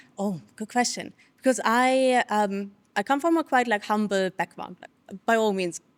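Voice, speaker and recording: In a German accent, a woman speaks at a fairly high pitch with a dry, close sound and no echo. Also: ordinary pitch variation, moderate pace. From Germany. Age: 30s. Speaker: personal branding consultant. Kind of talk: interview. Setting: studio.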